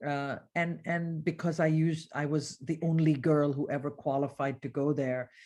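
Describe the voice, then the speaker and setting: A woman with a very deep, low pitch and a slight Indian accent, on a very clean recording with a silent background. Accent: very muted Indian English. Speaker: business executive, former wealth advisor. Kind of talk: interview conversation. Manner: frequent repetitions and fillers.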